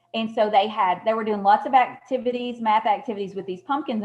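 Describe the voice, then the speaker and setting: Music sits in the background. The delivery is at a fairly quick pace. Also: woman. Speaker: math education consultant. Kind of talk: webinar presentation. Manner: fast; hesitant, many fillers.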